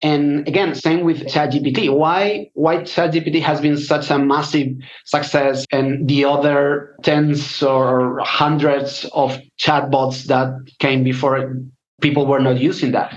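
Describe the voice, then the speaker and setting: A man's fairly slow, fairly high-pitched speech in a Spanish accent, with fairly even intonation and very even loudness. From Spain. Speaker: data scientist. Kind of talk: interview. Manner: halting.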